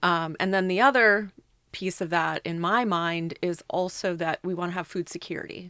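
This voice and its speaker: A woman's fairly low, bright, sharp voice with a slight Minnesota accent, fairly even intonation and a moderate pace, on a very clean recording with a silent background. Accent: slight Minnesota accent on a few words. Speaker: food company executive. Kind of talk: podcast interview.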